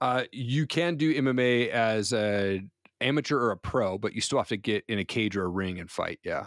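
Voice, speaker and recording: A man with an American accent and an unremarkable speaking voice talks at a moderate pace, his medium pitch showing ordinary variation. The recording is very clean, with a silent background and a dry, close sound with no echo. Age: 40s. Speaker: entrepreneur and podcaster. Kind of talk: interview testimony.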